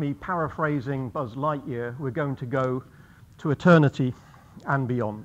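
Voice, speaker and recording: Ordinary pitch variation runs through this man's speech, delivered at a moderate pace. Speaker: guest lecturer. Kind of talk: lecture. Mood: light, gently humorous. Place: hall.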